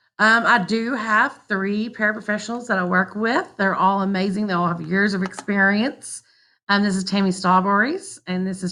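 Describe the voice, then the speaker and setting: A woman speaks with a Southern US accent at medium pitch, her tone bright and sharp. Her intonation is fairly even, her pace moderate, and the background quiet. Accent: country, Southern. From US South, southwest Arkansas. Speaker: teacher. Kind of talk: class introduction video for parents.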